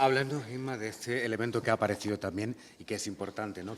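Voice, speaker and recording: A man talks at a moderate pace with ordinary pitch variation in an unremarkable speaking voice. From Granada province, Spain. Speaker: poet and interviewer. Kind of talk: public literary conversation. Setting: university lecture hall with audience.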